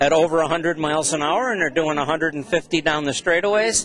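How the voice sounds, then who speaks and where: A man speaks with ordinary pitch variation. Noticeable background noise runs beneath him. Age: 60s. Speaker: race track owner. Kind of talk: interview. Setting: swap meet. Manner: animated.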